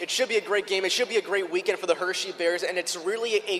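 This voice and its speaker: A man races along at a very fast pace with noticeable background noise around him. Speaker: radio color commentator. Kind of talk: sports broadcast color commentary.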